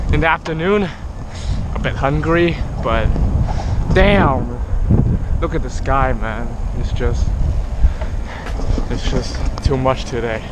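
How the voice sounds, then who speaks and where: Loud background noise surrounds a dry sound with no echo. A man speaks at a very slow pace. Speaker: cyclist vlogger. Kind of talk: casual vlog chat. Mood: relaxed, cheerful. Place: street. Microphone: phone near.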